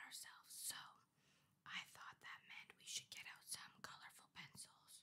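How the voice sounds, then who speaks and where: Someone is whispering. The pace is fairly slow. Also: woman. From Canada. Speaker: ASMR creator. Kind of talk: ASMR journaling ramble to camera. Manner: whispered, soft-spoken. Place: home room.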